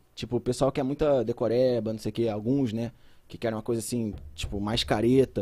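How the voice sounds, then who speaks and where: The man's voice carries a dark, mellow tone. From Brazil, São José dos Campos area. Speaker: biology teacher. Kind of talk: casual chat.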